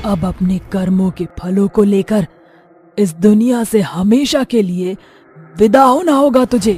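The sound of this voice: A cartoonish character voice is pitched fairly high. It moves at a fairly slow pace.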